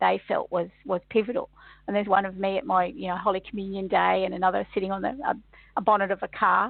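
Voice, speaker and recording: Hers is an unremarkable speaking voice, a woman at a medium pitch going at a fairly quick pace. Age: 60s. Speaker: kinesiologist and workshop facilitator. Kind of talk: radio interview.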